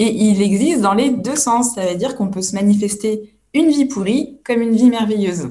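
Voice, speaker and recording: Fairly high, somewhat breathy female voice with a dark, mellow tone, ordinary pitch variation and a moderate pace. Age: 30s. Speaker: personal development coach. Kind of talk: interview.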